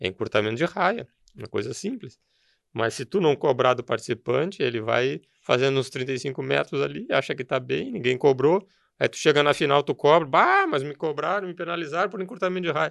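Over a quiet background, a man with a fairly high pitch and vocal fry talks at a fairly quick pace with lively intonation. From southern Brazil, Rio Grande do Sul (Novo Hamburgo). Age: 50s. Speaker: rural producer and horse show judge coordinator. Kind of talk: interview conversation.

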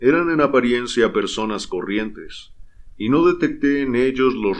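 The intonation sounds lively. Someone reads aloud plainly.

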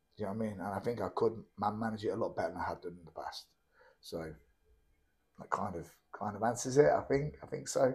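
This man speaks at a very fast pace in a medium, somewhat breathy pitch with ordinary pitch variation. He leaves long, frequent pauses, and his loudness swings widely. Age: 30s. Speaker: MMA fighter and coach. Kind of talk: casual interview chat.

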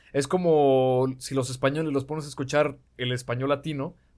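With a medium pitch and ordinary pitch variation, a man speaks at a fairly quick pace. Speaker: podcast guest. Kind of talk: casual chat.

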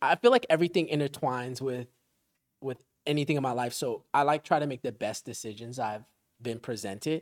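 In a dry, close recording with no echo, a man with an American accent speaks at a fairly quick pace, his medium pitch showing ordinary variation. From Easton, Pennsylvania. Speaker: musician and military veteran. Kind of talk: casual chat.

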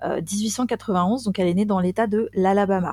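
The voice has a dark, mellow tone. The recording is very clean with a silent background and a dry, close sound with no echo. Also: woman. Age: 40s. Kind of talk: casual storytelling chat.

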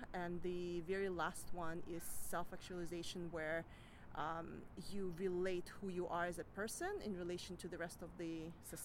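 A woman talks at a moderate pace in a flat, monotone delivery. Her fairly low voice carries audible room echo. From Kazakhstan. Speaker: biotech marketing professional. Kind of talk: interview.

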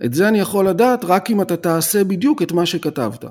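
At a moderate pace, a man with a high pitch speaks in a very clean recording with a silent background. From Israel, Tel Aviv. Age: 50s. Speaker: business coach and consultant. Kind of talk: podcast interview.

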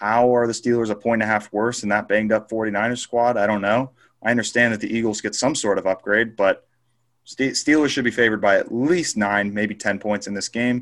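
On a very clean recording with a silent background, a man with an unremarkable speaking voice talks at a fairly quick pace in a medium pitch with fairly even intonation. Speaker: sports betting co-host. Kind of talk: casual chat.

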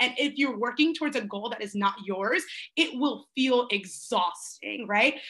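A woman speaks in a raised, projected voice with a bright, sharp tone. Her intonation is lively. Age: 20s. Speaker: life coach. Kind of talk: interview.

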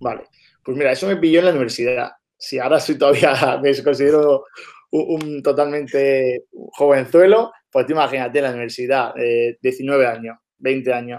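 Talking at a moderate pace, a man uses a fairly high pitch with ordinary pitch variation. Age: 20s. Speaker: entrepreneur. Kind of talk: casual interview.

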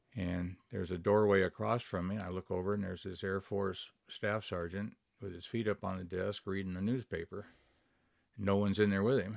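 On a very clean recording with a silent background, a man with an American accent speaks at a fairly quick pace and a fairly low pitch, his intonation flat and monotone. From US Pacific Northwest (Wenatchee, Washington). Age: 70s. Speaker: air force veteran and retiree. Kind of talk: casual interview.

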